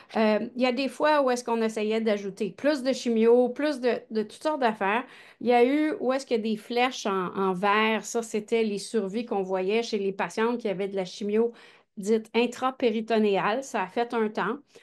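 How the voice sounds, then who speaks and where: A woman talks with a Quebec accent at a moderate pace. Her pitch is fairly high and the background is quiet. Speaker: gynecologic oncologist and researcher. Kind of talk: research presentation. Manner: animated.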